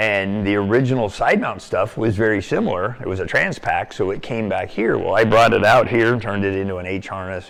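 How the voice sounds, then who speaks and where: With an American accent, a man speaks with hardly any pauses against noticeable background noise. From US Pacific Northwest (Portland, Oregon). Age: 60s. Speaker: cave diver and dive shop owner. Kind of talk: interview storytelling. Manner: frequent hesitations (um).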